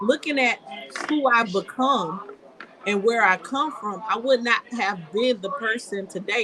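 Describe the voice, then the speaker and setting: A high-pitched woman's voice with lively intonation over noticeable background noise. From US South, rural Georgia (Coffee County, Douglas). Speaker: local political candidate. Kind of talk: testimony in a live-stream chat. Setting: live stream.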